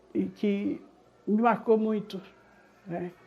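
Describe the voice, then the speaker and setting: Her pitch lands in the medium range. The voice belongs to a woman. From Brazil, São Paulo (Brasilândia, north zone). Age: 70s. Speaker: interviewee sharing life story. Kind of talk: personal testimony.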